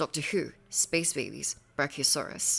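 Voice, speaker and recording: Someone speaks at a moderate pace while music plays in the background. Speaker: award presenter, paleo artist. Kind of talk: award presentation.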